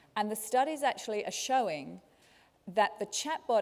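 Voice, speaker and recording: At a moderate pace, this speaker uses ordinary pitch variation with a slight Australian accent. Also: woman. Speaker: learning technology speaker. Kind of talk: conference talk. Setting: stage with audience.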